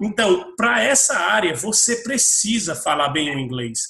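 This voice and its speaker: A man with a high pitch uses a raised, projected voice and very wide pitch swings, speaking fairly slowly amid noticeable background noise. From Brazil. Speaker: IT professional working abroad. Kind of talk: panel discussion.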